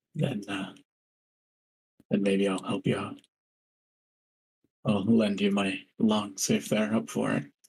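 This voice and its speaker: A man's put-on character voice, raspy and fairly low in pitch, at a fairly slow pace with long, frequent pauses. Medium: actual play.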